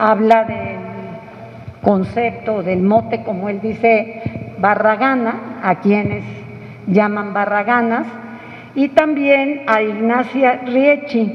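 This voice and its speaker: Noticeable background noise sits behind a woman who talks very slowly in a fairly high voice with ordinary pitch variation. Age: 60s. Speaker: book presenter. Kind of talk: book presentation talk. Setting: press club event with audience.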